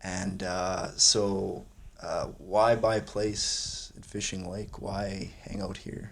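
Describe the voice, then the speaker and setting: A man with a Canadian prairie accent speaks at a very slow pace, with audible room echo around his voice. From Saskatchewan, Canada (Wadena). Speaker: podcast host. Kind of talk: interview. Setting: cabin.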